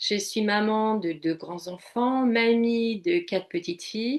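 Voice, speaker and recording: A woman with a fairly high pitch. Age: 60s. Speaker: coach and psychotherapy practitioner. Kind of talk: interview testimony.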